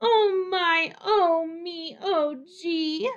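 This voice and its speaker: The pitch climbs extremely high. It comes from a put-on character voice. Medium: read story. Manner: exclamatory.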